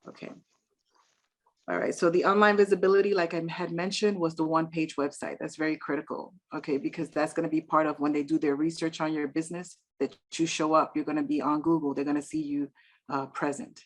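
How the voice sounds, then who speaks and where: In a New York accent, the speaker goes at a very fast pace with ordinary pitch variation. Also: woman, very deep, low pitch for a woman. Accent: New York Bronx. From New York City, the Bronx; Dominican family. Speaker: real estate investor and business credit speaker. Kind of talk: online presentation to a meetup.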